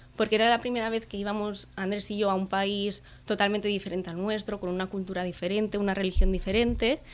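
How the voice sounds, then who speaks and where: A woman talks at a moderate pace in a medium pitch with fairly even intonation. Hers is an ordinary speaking voice. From Catalonia, Spain (Tarragona area). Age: 20s. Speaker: travel blogger. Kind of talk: interview.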